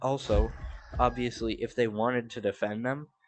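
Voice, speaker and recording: A man's medium-pitched voice, fairly slow and monotone with flat intonation, with music in the background. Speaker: gaming streamer. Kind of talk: casual live stream commentary. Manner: filler-heavy, halting.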